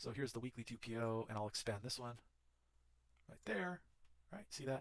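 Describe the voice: A man speaks at a fairly quick pace in a fairly bright tone with ordinary pitch variation.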